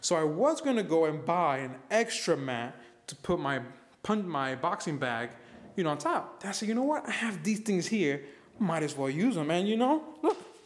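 A moderate pace carries the speech. Pitch moves through very wide swings. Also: man, high pitch for a man. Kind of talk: casual vlog chat. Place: garage. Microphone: phone near.

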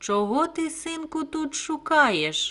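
In a put-on character voice, a woman speaks at a very slow pace and a high pitch. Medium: read story.

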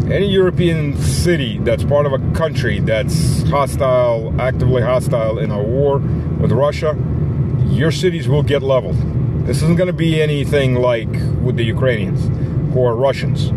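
Loud background noise runs under a man speaking at a moderate pace with ordinary pitch variation. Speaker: political commentator. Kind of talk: casual vlog commentary. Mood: stern, warning tone. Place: car. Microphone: phone near.

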